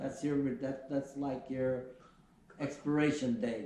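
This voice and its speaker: A man with an American accent, fairly high in pitch and fairly even in intonation, amid audible room echo and noticeable background noise. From US Midwest. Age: 70s. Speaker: retired airline pilot. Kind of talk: interview. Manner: halting.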